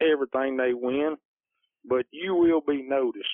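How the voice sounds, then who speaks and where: The speaker talks at a fairly slow pace in a Louisiana accent. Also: man. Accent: US Southern (Louisiana). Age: 40s. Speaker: plumber and competition coon hunter. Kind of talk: casual interview. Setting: phone call.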